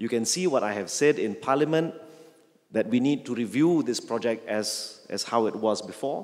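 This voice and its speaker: This man speaks at a moderate pace in an ordinary speaking voice. His pitch is medium, with ordinary pitch variation. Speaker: member of parliament. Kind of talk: public speech.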